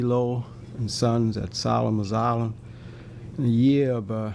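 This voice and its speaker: The speaker is a man with a medium pitch. He keeps his intonation fairly even. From Maryland, Calvert County. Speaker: former oyster shucker. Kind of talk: oral history interview.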